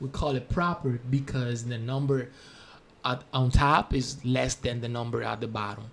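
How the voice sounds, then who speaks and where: Speaking in a Spanish accent, a man with a medium-pitched, somewhat breathy voice keeps a moderate pace and fairly even intonation. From Spanish-speaking country. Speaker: math teacher. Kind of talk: tutorial. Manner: halting, with fillers.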